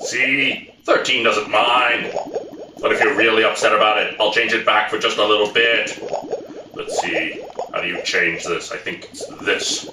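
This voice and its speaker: A man's put-on character voice at a moderate pace, with slight echo and clear background noise. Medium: comedy sketch. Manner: casual, offhand.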